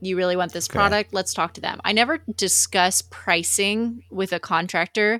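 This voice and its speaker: With an American accent, a woman at a medium pitch speaks at a moderate pace with hardly any pauses, her animated, bright, sharp tone showing vocal fry and ordinary pitch variation in a dry, close sound with no echo. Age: 20s. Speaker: HVAC industry sales representative. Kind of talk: casual chat.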